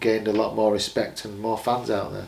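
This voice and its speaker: A man's fairly low, monotone voice with an English accent, with audible room echo and noticeable background noise. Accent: English regional accent noticed by Americans. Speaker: professional boxer. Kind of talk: casual interview.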